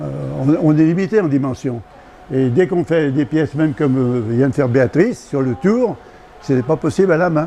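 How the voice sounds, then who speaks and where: Noticeable background noise sits behind a man's fairly high voice. He talks at a moderate pace with lively intonation. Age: 80s+. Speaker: retired glassblower. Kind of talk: interview, craft explanation.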